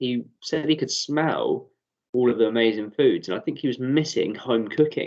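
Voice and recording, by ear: In a quiet background, a person is reading aloud in a natural voice.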